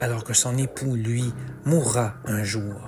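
There is noticeable background noise. A man talks at a very slow pace. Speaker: author and narrator. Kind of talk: dramatic narration of rhyming mythological verse, read aloud as a theatrical epic tale; scripted narration with podcast intro and outro. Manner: measured, storyteller cadence with emphasis on the rhymes and action beats.

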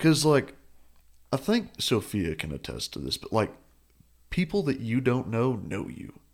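A man with a Texas accent speaks at a moderate pace, with long, frequent pauses and vocal fry. His pitch swings very widely and his loudness varies greatly. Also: medium pitch for a man. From Perryton, Texas Panhandle. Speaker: college student, radio station worker. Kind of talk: casual chat.

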